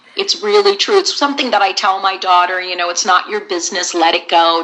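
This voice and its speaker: There is noticeable background noise behind this speaker. A woman talks at a medium pitch with an American accent. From US West Coast, San Jose, California. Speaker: voice actress. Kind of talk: interview. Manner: animated.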